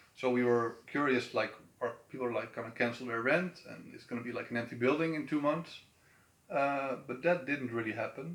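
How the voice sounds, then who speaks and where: A man with a Dutch accent at medium pitch and a moderate pace. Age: 30s. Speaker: event organizer. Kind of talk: interview. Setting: on camera in an office building. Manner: halting.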